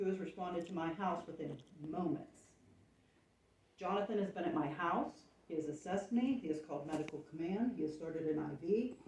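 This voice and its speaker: This woman's voice sits at a medium pitch and is somewhat breathy, with lively intonation. Room echo is audible. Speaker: township resident speaking at public meeting. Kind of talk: public comment at meeting. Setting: township public meeting room. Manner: soft-spoken. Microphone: microphone not working, too quiet.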